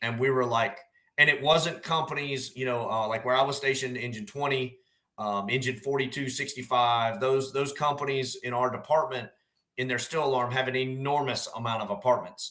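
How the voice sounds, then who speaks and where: A man with a Southern US accent speaks at a medium pitch in a bright, sharp tone, with fairly even intonation. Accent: Southern drawl. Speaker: firefighter officer. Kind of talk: casual chat. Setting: live stream.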